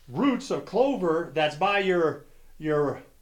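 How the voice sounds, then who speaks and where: A man's high voice at a very slow pace, with audible room echo. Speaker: golf instructor. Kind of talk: tutorial.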